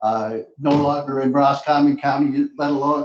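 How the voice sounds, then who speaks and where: This man's voice lands fairly high. He delivers his words at a moderate tempo. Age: 70s. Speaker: resident giving public comment. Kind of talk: public comment at county meeting. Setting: public meeting room with microphone. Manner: halting, many fillers.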